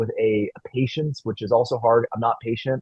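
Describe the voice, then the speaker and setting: Somewhat breathy and medium in pitch, a man speaks at a fairly quick pace. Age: 20s. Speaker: city council member. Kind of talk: panel discussion. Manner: fast.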